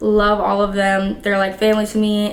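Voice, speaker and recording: Noticeable background noise and audible room echo accompany this woman's medium-pitched voice. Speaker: vlogger and dancer. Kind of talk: casual storytelling vlog. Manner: casual, filler-heavy.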